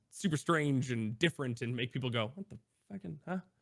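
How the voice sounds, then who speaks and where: A medium-pitched man with an American accent, an energetic tone and lively intonation, in a very clean recording with a silent background. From US Midwest (Iowa). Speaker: variety streamer. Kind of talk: interview conversation. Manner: casual with fillers.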